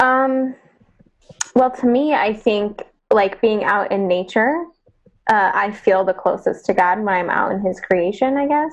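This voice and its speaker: In an unremarkable speaking voice, a woman talks at a fairly high pitch and a fairly slow pace with lively intonation. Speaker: participant. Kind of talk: casual discussion. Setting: video call.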